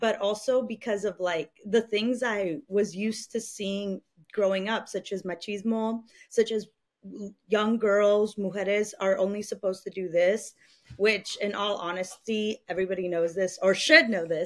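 A woman speaks at a moderate pace with fairly even intonation. The background is quiet. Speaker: podcast guest. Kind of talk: interview answer. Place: home room. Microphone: studio mic.

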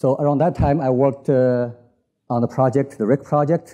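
A man with a Chinese accent and a dark, mellow tone. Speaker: physicist giving invited talk. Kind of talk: lecture. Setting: conference stage with audience. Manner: halting, many fillers.

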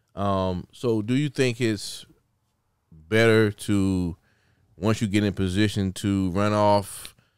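With a South Carolina accent, a man speaks at a fairly low pitch with fairly even intonation, in a quiet background and a dry sound with no echo. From Sumter, South Carolina. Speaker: podcast host. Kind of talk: casual interview. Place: studio. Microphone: studio mic.

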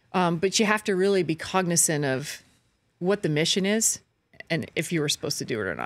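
This woman has a Canadian accent and a fairly low pitch with ordinary variation. Vocal fry runs through her speech. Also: fairly quick pace. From Canada, Brockville, Ontario; Ontario, Canada. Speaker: sports reporter. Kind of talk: casual chat. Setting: studio. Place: studio. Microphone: studio mic.

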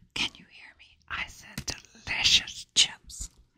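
A woman whispers at a very slow pace. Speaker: ASMR creator. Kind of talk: ASMR eating video, casual talk to camera. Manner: whispered, relaxing. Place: home room. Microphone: studio mic.

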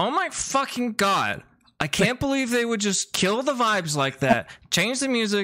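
A man's put-on character voice, high-pitched and whiny, with a whiny tone, lively intonation and a moderate pace. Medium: actual play. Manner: irritated, whiny, profane.

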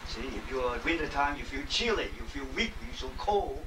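A man speaks with a Chinese accent at a fairly quick pace. Noticeable background noise runs underneath. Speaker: qigong lecturer and panel moderator. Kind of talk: lecture. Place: home room. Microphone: camera far.

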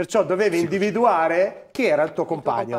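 High male voice at a fairly quick pace. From northern Italy, Crema; Italy. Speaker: former footballer, football pundit; football pundit. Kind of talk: studio panel discussion. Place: studio. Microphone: lapel.

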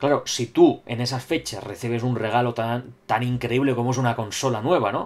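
Hardly pausing, a man talks at a moderate pace with fairly even intonation. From Spain. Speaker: gaming YouTuber. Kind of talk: solo video commentary reading viewer comments. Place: home room. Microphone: webcam.

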